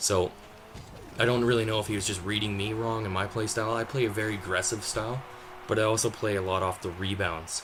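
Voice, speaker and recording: A man talks at a very fast pace in a fairly low pitch with fairly even intonation. Noticeable background noise runs under his voice. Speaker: gaming commentator. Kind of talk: gameplay commentary. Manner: hesitant, many fillers; casual, conversational.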